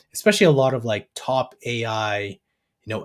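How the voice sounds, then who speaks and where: A man with a Canadian accent speaks in a normal speaking voice at medium pitch and a moderate pace. His pitch variation is ordinary, and the recording is very clean with a silent background. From Canada, Alberta. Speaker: AI business educator. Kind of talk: interview.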